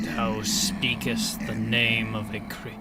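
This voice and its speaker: A man speaks very slowly in a raspy, put-on character voice over loud background noise. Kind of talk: archaic, formal.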